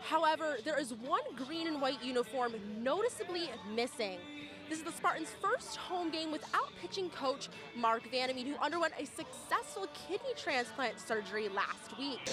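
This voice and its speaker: Over music in the background, a woman with a high pitch talks at a moderate pace, her pitch swinging very widely. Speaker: sports broadcaster. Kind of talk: sports news report.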